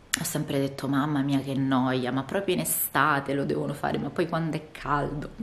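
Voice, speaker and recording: A woman's voice, very deep and low in pitch, moves at a moderate pace. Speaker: vlogger. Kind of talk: casual vlog monologue. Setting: outdoors. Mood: relaxed, chatty. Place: home room. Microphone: phone near.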